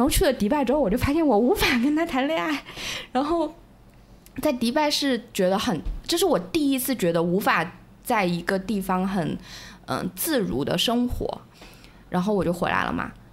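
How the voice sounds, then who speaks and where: A woman speaks in a high voice with very wide pitch swings. She leaves long, frequent pauses. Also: moderate pace. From Hunan, mainland China. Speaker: guest, former Hong Kong resident. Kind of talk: casual chat. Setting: home, dark room at night.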